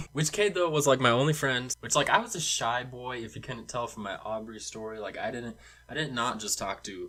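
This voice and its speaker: With noticeable background noise, a man talks at a medium pitch with ordinary pitch variation. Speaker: storytime vlogger. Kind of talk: casual storytelling. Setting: home studio. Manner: fast; animated. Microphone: cheap microphone.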